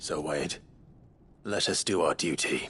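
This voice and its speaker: In a raspy put-on character voice, a man speaks fairly slowly at a very deep, low pitch. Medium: short film. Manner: measured, earnest.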